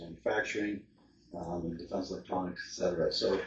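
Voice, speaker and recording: Here a man is speaking. His pace is fairly quick. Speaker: economic development presenter at city council. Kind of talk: public presentation. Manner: fast; hesitant with many fillers.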